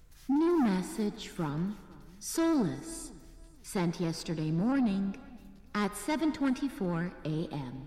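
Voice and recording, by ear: A female-sounding voice of medium pitch speaks very slowly with very wide pitch swings. Clear echo and clear background noise are audible.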